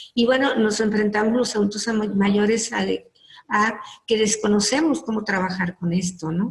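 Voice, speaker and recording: A woman's fairly high pitch, ordinary pitch variation and a moderate pace. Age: 60s. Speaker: psychologist. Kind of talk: lecture. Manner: halting.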